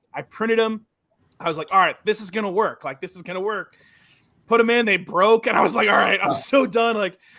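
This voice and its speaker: This man has a raised, projected voice with a high pitch. He speaks fairly quickly in an American accent. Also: ordinary pitch variation. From US Midwest, Chicago. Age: 30s. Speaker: woodworker. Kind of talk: casual chat.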